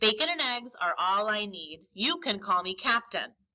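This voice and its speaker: In a put-on character voice, a woman talks at a moderate pace, sounding gruff and fairly high-pitched. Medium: read story. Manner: gruff, growling.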